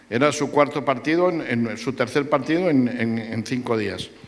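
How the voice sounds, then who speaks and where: A man's medium-pitched voice with a Madrid accent. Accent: central Spanish (Madrid). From Madrid, Spain. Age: 70s. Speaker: sports journalist. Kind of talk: public talk panel with audience. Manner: halting with repetitions.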